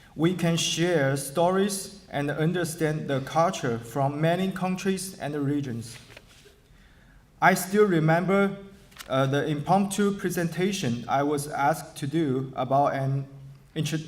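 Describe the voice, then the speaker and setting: Spoken at a fairly slow pace with a Chinese accent and ordinary pitch variation, the voice carries audible room echo. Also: man. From China, Shanghai. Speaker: adult education graduate. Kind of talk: graduation speech. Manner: formal.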